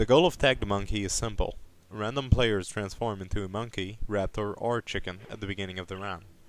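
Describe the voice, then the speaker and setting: On a very clean recording with a silent background, a man speaks with a non-native accent. His voice is fairly low, with fairly even intonation and a moderate pace. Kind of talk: game explainer narration. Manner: quiet, low volume.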